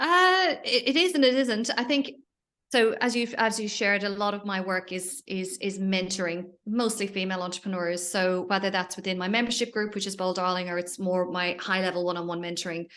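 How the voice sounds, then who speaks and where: A woman with an Irish accent, medium-pitched, bright and sharp in tone, at a fairly quick pace with ordinary pitch variation, over a quiet background. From Ireland. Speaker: entrepreneur and business mentor. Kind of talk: podcast interview. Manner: animated.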